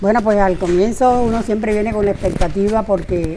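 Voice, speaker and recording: Noticeable background noise runs under the woman's voice as she keeps a moderate pace and fairly even intonation. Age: 70s. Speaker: retired teacher. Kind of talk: interview. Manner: conversational, with hesitations.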